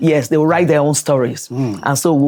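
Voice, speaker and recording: A woman speaks with a very deep, low pitch and ordinary pitch variation. Music runs in the background. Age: 60s. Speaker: professor of phonetics and phonology. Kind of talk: interview answer.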